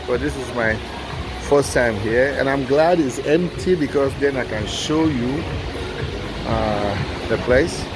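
Noticeable background noise behind a man speaking at a fairly slow pace. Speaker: tour vlogger. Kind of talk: casual vlog chat. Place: bar. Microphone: phone near.

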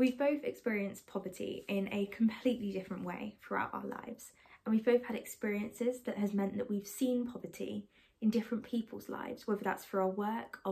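A woman of medium pitch talks at a moderate pace with fairly even intonation in a dark, mellow tone, with vocal fry and a slightly husky edge.

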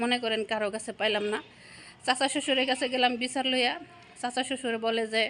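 The tone is bright and sharp. Intonation stays monotone and flat. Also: woman, high pitch for a woman. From Bangladesh. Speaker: domestic worker vlogger. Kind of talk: personal life story. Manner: halting.

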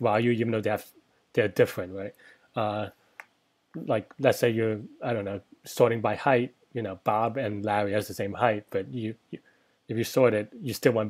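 A man talks at a moderate pace. Nothing much can be heard behind him. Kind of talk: tutorial. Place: home room.

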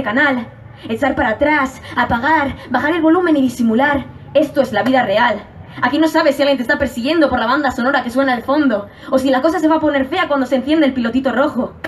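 A woman's high-pitched voice with a Spanish accent, very fast and animated, passionate in tone, over noticeable background noise. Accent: Spanish from Spain. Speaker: slam poet competitor. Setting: stage with audience. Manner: animated, passionate, fast-paced, rhythmic delivery with urgent emphasis.

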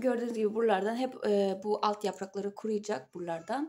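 A woman with a dark, mellow tone talks at a fairly quick pace with ordinary pitch variation. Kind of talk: casual tutorial. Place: home room. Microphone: phone near.

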